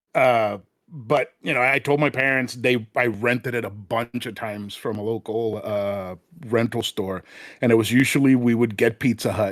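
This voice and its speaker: Fairly even intonation in a Spanish accent, a moderate pace, and a dry, close sound with no echo. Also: man, medium pitch for a man. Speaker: podcast guest, retro gaming enthusiast. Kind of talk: casual chat. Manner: many fillers and restarts.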